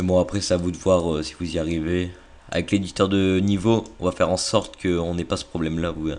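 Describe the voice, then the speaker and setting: A man's very deep, low voice in a monotone, flat intonation at a very fast pace. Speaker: video game tutorial maker. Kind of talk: tutorial. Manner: casual with many hesitations.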